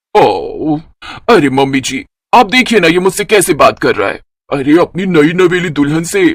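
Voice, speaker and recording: A woman cackles in a cartoonish character voice, medium-pitched and at a moderate pace. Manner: cackling, domineering.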